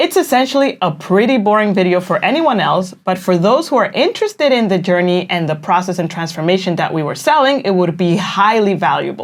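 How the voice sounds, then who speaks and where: In a Spanish accent, a woman speaks at medium pitch and a fairly quick pace with lively intonation and hardly any pauses. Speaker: online business coach. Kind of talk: casual explainer.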